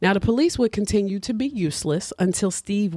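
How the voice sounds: The speaker reads in a natural reading voice, its pitch varying in an ordinary way.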